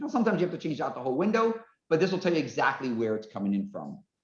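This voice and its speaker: A loud man speaks at a fairly high pitch with very wide pitch swings. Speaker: forensic construction engineer. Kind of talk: webinar presentation. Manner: fast.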